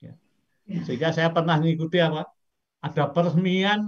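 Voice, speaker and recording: Against a quiet background, a man speaks with a high pitch. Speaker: professor. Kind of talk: lecture. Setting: video call. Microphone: video call.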